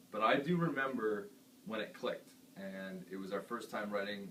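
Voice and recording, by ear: At a moderate pace, a man talks at a fairly low pitch with a fairly bright tone and ordinary pitch variation, and room echo is audible.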